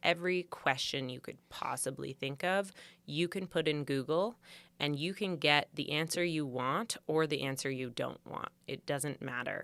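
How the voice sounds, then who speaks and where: With a Canadian accent, a woman speaks at a moderate pace in a very deep, low pitch, in a very clean recording with a silent background. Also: ordinary pitch variation. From Canada, Vancouver Island. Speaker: pageant contestant and boudoir photographer. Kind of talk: podcast interview.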